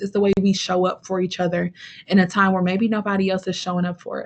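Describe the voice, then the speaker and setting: This woman's voice is somewhat breathy and sits at a medium pitch. She talks at a fairly quick pace. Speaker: fraternity and sorority recruitment trainer. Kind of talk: webinar talk with Q&A. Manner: animated, conversational.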